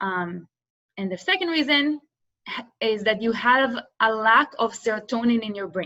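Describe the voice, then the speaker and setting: A woman speaks with an Israeli accent. Her voice is fairly high, with a bright, sharp tone. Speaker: business student and workshop presenter. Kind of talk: workshop presentation.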